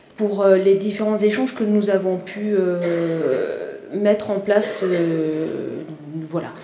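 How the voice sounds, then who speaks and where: There is audible room echo and noticeable background noise. A woman speaks at a medium pitch. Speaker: university lecturer and author. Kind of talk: conference talk. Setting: conference with audience. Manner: hesitant, many fillers.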